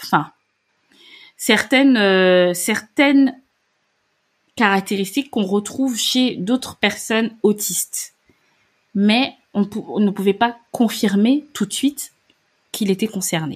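A woman speaks very slowly at a medium pitch with ordinary pitch variation, on a very clean recording with a silent background. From Gabon. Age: 30s. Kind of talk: interview. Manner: hesitant.

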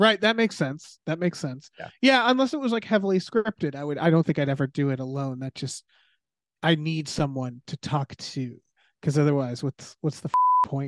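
This man has an unremarkable speaking voice with an American accent, pitched fairly high. He talks at a fairly quick pace, and the sound is dry and close with no echo. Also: quiet background. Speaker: writer and podcaster. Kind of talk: casual chat.

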